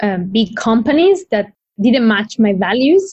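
This woman's voice sits fairly high and is somewhat breathy. She speaks at a fairly slow pace. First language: not English. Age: 20s. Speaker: environmental economist and PhD researcher, tool library founder. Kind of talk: interview.

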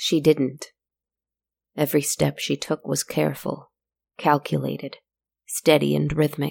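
Recorded with a dry, close sound and no echo, a woman speaks at a fairly slow pace with long, frequent pauses. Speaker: storyteller podcast narrator. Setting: solo recording, podcast. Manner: slow, hushed, dreamy and theatrical, with long pauses and a gentle lulling rhythm; intimate and confiding, speaking directly to listeners as friends.

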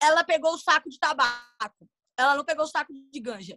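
A woman's raised, projected voice has a high pitch and a bright, sharp tone. Her delivery is animated and fairly quick. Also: dry, close sound with no echo. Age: 20s. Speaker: content creator and voice dubber. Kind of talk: casual chat.

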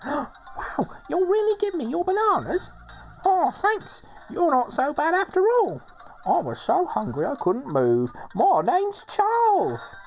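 Someone puts on a character voice with an extremely high pitch, speaking at a fairly slow pace. Clear background noise is present. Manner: silly.

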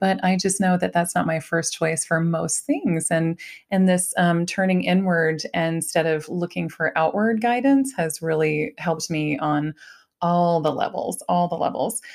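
A woman with an ordinary speaking voice and an American accent, fairly low in pitch with ordinary pitch variation, at a fairly slow pace on a very clean recording with a silent background. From Ohio, US Midwest. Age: 40s. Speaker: podcast host, mother. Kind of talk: casual interview chat.

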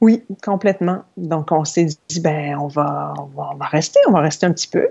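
A woman speaks at a fairly slow pace. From Quebec, Saguenay. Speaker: yoga teacher and entrepreneur. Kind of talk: interview. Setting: remote recording.

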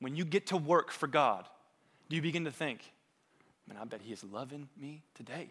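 Lively intonation at a moderate pace, with big swings in loudness and long, frequent pauses. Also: man, fairly high pitch for a man. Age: 30s. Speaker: pastor. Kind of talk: sermon.

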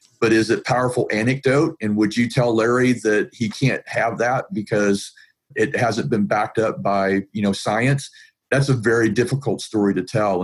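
This is a man with an American accent and a plain, everyday voice. He talks at a medium pitch and moderate pace. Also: very even loudness. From US South, Atlanta, Georgia. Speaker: IT professional and pain advocate. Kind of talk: interview conversation. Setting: video call.

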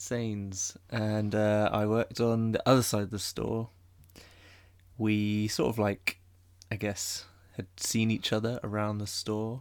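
A man with a southern English accent, very slow and monotone, with long, frequent pauses. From southern England. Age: 20s. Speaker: architectural visualization artist. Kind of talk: casual chat. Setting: home bedroom, raining outside.

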